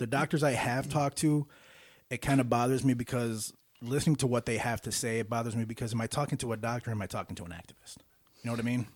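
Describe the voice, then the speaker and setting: Very fast speech with fairly even intonation, dry and close with no echo, in a very clean recording with a silent background. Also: man, medium pitch for a man. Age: 40s. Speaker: podcast host and musician. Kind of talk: casual chat.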